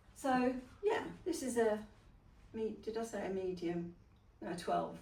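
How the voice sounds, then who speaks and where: Woman's fairly high-pitched voice at a fairly slow pace, with audible room echo and noticeable background noise. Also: lively intonation. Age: 60s. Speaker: fashion vlogger. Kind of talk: casual chat. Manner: halting.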